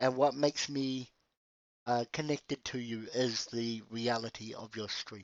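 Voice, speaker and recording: At a fairly slow pace, a man with a medium pitch talks in fairly even intonation, his loudness rising and falling sharply. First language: Spanish. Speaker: streamer. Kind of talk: casual chat.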